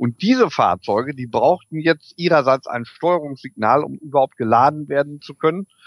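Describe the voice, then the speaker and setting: A man with a plain, everyday voice speaks at a moderate pace and lively intonation, the sound dry and close with no echo. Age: 40s. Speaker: electric vehicle equipment entrepreneur. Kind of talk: interview. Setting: video call.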